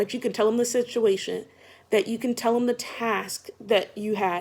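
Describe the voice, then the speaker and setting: A woman talks loudly at a fairly quick pace. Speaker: vlogger giving job interview advice. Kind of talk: casual advice vlog. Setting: at home, just woke up.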